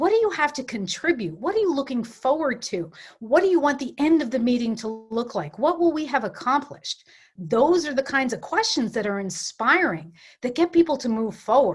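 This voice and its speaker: A woman's high voice with a New York accent and very wide pitch swings. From New York City area. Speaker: coach and facilitator. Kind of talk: workshop presentation; guided visualization. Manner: fast.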